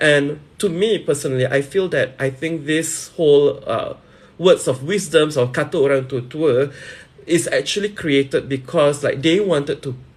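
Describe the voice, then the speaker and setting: A man's somewhat breathy, fairly high-pitched voice at a fairly slow pace, with ordinary pitch variation. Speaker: live streamer and promoter. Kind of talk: casual live stream talk.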